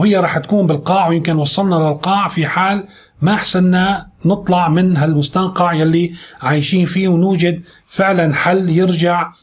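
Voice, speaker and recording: Monotone and flat in intonation, a man talks at a high pitch and a moderate pace. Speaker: news commentator. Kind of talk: news commentary monologue.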